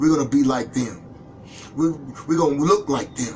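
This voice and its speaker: Noticeable background noise behind a man's fairly high, animated voice at a fairly quick pace. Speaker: Bible class preacher. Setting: live online video stream.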